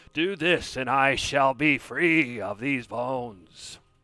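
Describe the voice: In a put-on character voice, a man speaks at a fairly slow pace and medium pitch, sounding raspy, booming and shrill, in a very clean recording with a silent background.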